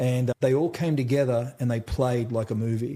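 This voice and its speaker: This voice has a dark, mellow tone and fairly even intonation. It speaks with an Australian accent. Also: man. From central Australia. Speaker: trauma survivor and mental health speaker. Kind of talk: interview testimony. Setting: conference in Dallas. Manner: casual, uses mate and brother.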